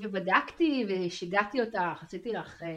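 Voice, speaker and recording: An ordinary speaking voice from a woman, moderately paced, ordinary pitch variation. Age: 50s. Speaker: marketing consultant, coaching client. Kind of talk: personal testimony interview. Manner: frequent laughter.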